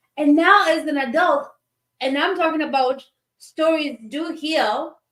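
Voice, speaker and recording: Animated in tone, a woman speaks fairly slowly with a high pitch. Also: ordinary pitch variation. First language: not English.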